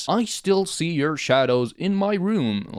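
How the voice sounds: A put-on character voice at a fairly slow pace. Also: man, high pitch for a man.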